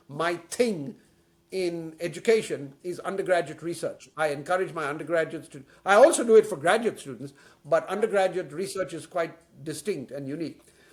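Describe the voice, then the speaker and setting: Moving at a fairly quick pace, a man with a high pitch and ordinary pitch variation shows big swings in loudness. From India, Bombay. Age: 70s. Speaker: professor and former university president. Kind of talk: interview. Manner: energetic; halting.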